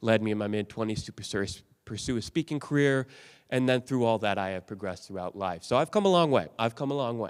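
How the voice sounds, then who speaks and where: A man's medium-pitched voice at a very fast pace, with ordinary pitch variation, on a very clean recording against a silent background. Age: 30s. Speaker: motivational speaker. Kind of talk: keynote speech. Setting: stage with audience.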